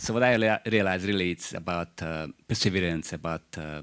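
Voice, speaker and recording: A man with a Croatian accent. His pitch sits very deep and low. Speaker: university chairperson. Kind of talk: speech at an open day. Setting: room with live audience and online stream. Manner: halting, with fillers.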